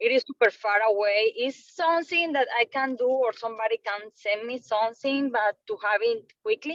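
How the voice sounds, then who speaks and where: A woman with a Colombian accent talks at a moderate pace with hardly any pauses, her high pitch showing ordinary variation in a dry, close sound with no echo. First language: Spanish. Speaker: trainee salesperson. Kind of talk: questions in training webinar.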